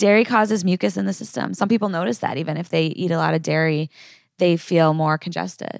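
A woman's normal speaking voice at a fairly quick pace, on a very clean recording with a silent background. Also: fairly low pitch for a woman, lively intonation. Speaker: acupuncturist and herbalist. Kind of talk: casual interview chat.

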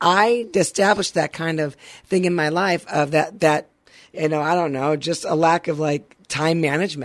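With an ordinary speaking voice, a woman talks at a moderate pace, her fairly low pitch showing ordinary variation. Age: 50s. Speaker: radio co-host and producer. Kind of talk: casual faith-based motivational chat.

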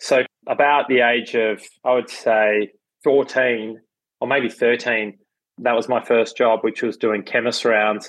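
A man with an Australian accent talks at a very slow pace. His intonation is monotone and flat, and his loudness stays very even. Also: medium pitch for a man. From Melbourne, Australia. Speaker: entrepreneur, cafe chain founder. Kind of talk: interview.

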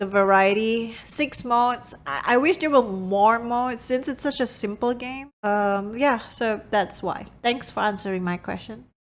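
With a non-native accent, a woman speaks in a fairly high pitch at a fairly slow pace, hardly pausing at all. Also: ordinary pitch variation. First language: not English. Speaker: podcast co-host, gamer parent. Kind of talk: casual chat.

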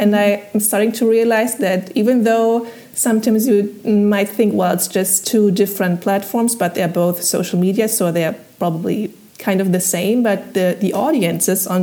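With a German accent, a woman speaks at a moderate pace and medium pitch. Her intonation is fairly even, and there is noticeable background noise. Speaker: translator. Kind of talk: interview. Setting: video call.

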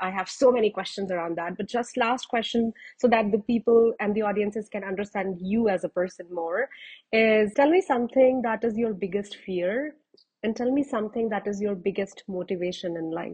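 At a fairly quick pace, a woman speaks somewhat breathily at medium pitch with ordinary pitch variation. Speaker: podcast host. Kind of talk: interview.

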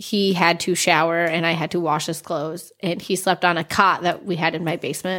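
In a very clean recording with a silent background, a woman with an unremarkable speaking voice talks at a fairly low pitch and with fairly even intonation. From upstate New York. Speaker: podcast guest. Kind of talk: casual chat.

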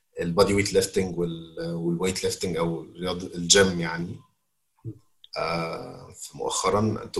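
Speaking at a fairly slow pace, a man has a very deep, low pitch, a somewhat breathy voice and fairly even intonation. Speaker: learning and development manager. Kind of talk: interview.

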